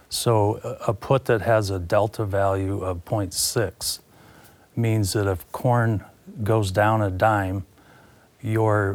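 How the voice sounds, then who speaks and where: A man speaks in a Midwestern American accent at a fairly low pitch. His intonation stays monotone and flat. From Iowa, US Midwest. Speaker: commodities broker. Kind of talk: interview. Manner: halting, many fillers.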